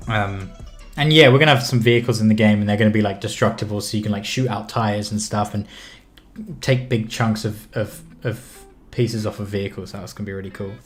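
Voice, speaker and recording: Music plays in the background as a man talks very fast in a fairly low pitch with fairly even intonation. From southwest London. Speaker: indie game developer and streamer. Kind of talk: casual live stream chat while working. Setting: live stream. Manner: hesitant, many fillers.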